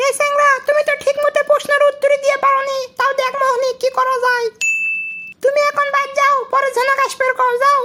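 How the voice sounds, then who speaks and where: A woman does a cartoonish character voice, extremely high in pitch, with monotone, flat intonation, very even loudness and a moderate pace. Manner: scolding, condescending.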